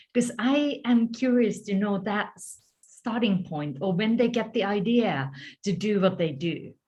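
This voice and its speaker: A woman with a medium pitch, a somewhat breathy voice and lively intonation speaks at a fairly slow pace. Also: big swings in loudness. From Finland, countryside. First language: Finnish. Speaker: story coach and author. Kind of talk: interview.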